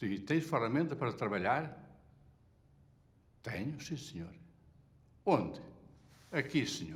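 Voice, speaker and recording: A man with a medium pitch and vocal fry speaks at a fairly slow pace, his pitch swinging very widely. He leaves long, frequent pauses, and the room echo is audible. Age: 70s. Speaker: retired textile factory worker. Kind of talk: testimony.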